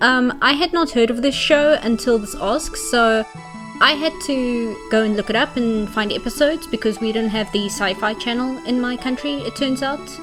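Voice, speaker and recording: A woman's high voice with lively intonation at a moderate pace, with music in the background. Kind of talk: casual commentary talk to camera. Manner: rambling, some stumbling over words.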